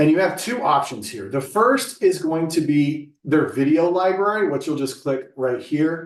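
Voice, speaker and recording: A man with an unremarkable speaking voice talks at a moderate pace with hardly any pauses. His fairly high voice has lively intonation. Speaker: staff trainer. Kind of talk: staff training session. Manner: casual.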